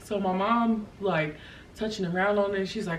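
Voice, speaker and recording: Through noticeable background noise and audible room echo, a woman speaks at a fairly slow pace with fairly even intonation. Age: 20s. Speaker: vlogger. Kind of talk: personal testimony. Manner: hesitant, many fillers.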